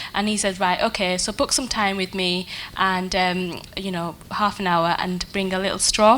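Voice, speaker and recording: A woman's medium-pitched voice at a moderate pace, monotone and flat in intonation, over noticeable background noise. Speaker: marketing professional, panellist. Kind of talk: panel discussion. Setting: conference stage with audience. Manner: soft-spoken.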